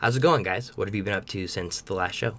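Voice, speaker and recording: With lively intonation, a man uses an unremarkable speaking voice at a fairly low pitch. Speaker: podcast host. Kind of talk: casual podcast intro and outro.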